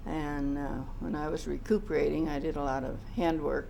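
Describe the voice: Vocal fry with fairly even intonation. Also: woman, low pitch for a woman, moderate pace.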